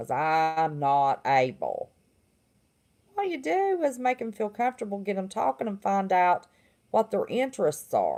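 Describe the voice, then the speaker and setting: A woman talks at a moderate pace with a Southern accent. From West Virginia. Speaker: livestream host, former therapist. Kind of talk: casual livestream monologue.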